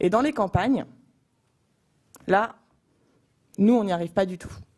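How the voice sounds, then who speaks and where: A woman's dark, mellow tone moves at a moderate pace. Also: long, frequent pauses, big swings in loudness. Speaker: youth association president. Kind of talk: panel discussion. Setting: stage with audience.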